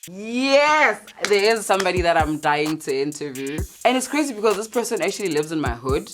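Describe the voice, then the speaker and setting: With music in the background, a woman talks at a fairly quick pace in an animated tone, her medium pitch making very wide swings. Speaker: radio presenter. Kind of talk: casual interview chat.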